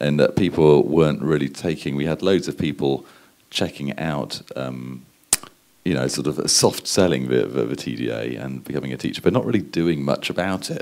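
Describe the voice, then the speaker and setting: This speaker has a British accent and talks at a moderate pace. The pitch varies in an ordinary way. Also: man, very deep, low pitch for a man. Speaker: advertising strategist. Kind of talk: conference talk. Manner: hesitant, many fillers.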